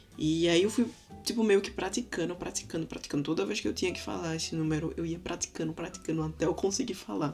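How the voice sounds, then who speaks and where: This woman's voice sits fairly low, with vocal fry. Her pitch swings very widely. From Brazil, Recife. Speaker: vlogger. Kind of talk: casual vlog storytelling. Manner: animated.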